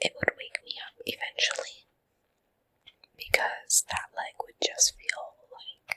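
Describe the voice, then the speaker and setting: A woman whispers at a very slow pace, with long, frequent pauses. Her loudness swings widely, and the sound is dry and close with no echo. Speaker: ASMR creator. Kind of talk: whispered ASMR ramble. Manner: whispering, soft, slow, with yawns.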